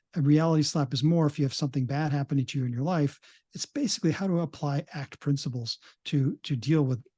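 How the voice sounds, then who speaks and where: Fairly high and somewhat breathy, a man's dark, mellow voice races at a very fast pace with ordinary pitch variation, dry and close with no echo over a quiet background. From Canada. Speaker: psychologist. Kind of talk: interview. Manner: halting, many fillers and restarts.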